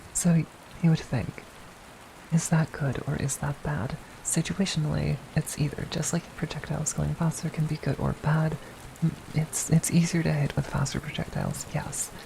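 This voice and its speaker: Soft-spoken, a woman talks with a very deep, low pitch and fairly even intonation. Noticeable background noise runs underneath. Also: moderate pace. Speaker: VTuber. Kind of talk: ASMR gaming tutorial, educational explanation.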